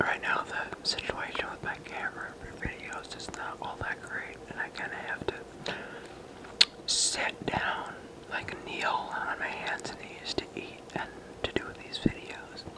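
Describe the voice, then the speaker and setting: Everything is whispered. The delivery is fairly slow. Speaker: mukbang ASMR creator. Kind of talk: ASMR eating video talk. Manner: casual, hesitant. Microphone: phone near.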